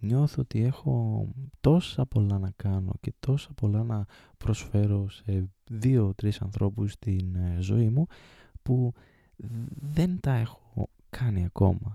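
Very slow and broken by long, frequent pauses, a man's fairly low voice has a dark, mellow tone on a very clean, silent recording with a dry, close sound. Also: ordinary pitch variation. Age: 20s. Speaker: podcast host. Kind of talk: personal monologue.

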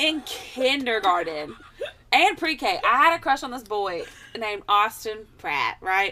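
A high-pitched woman with an American accent at a fairly slow pace, her pitch swinging very widely and her loudness in big swings, over noticeable background noise. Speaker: podcast co-host. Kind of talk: casual chat. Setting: rented apartment, hosts together.

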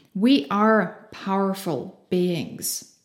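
Her German accent comes through as the woman talks with ordinary pitch variation. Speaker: podcast host. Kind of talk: motivational monologue. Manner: animated.

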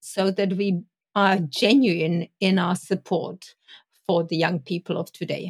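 A woman's somewhat breathy, medium-pitched voice with a European accent at a fairly slow pace. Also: dry, close sound with no echo. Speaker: Montessori educator. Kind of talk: panel discussion.

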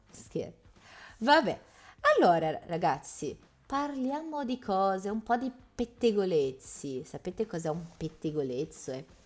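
Pausing long and often, a woman speaks at a fairly slow pace, her medium-pitched voice swinging very widely in pitch. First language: Portuguese (speaking Italian). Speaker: Italian language teacher. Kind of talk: interactive online language lesson.

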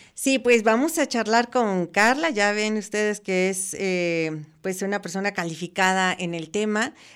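An unremarkable speaking voice runs with lively intonation and hardly any pauses in a very clean recording with a silent background. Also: woman, medium pitch for a woman, fairly slow pace. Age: 60s. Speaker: radio host. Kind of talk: radio talk show. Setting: radio studio.

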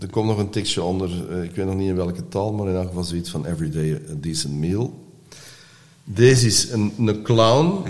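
A man with a very deep, low pitch, ordinary pitch variation and a moderate pace, with audible room echo. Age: 60s. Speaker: artist and actor in recovery. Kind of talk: podcast interview. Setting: studio.

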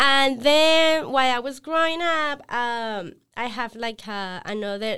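A woman with a Spanish accent projects her high, bright, sharp voice at a very slow pace. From Colombia, Villavicencio. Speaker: apparel brand co-founder. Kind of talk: podcast interview. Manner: halting.

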